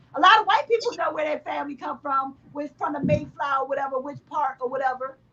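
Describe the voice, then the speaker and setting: A loud, animated woman's voice, high-pitched and at a very fast pace. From United States. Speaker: gaming podcast co-host. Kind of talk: heated debate.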